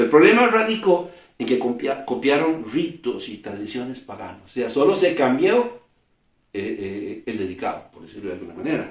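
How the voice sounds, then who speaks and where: Somewhat breathy speech at a fairly quick pace, with very wide pitch swings. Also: man. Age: 60s. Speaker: preacher. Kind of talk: sermon. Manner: halting.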